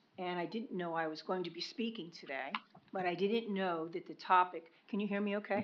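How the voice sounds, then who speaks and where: A woman is speaking at a moderate pace. Her pitch sits in the medium range. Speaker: member of the public giving comment. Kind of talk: public comment at a county meeting. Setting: county commission meeting.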